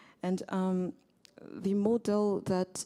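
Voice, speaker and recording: A woman's medium-pitched voice with a French accent, flat monotone intonation, and a dark, mellow tone. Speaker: agricultural economist, workshop participant. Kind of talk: panel discussion contribution. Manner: hesitant, many fillers.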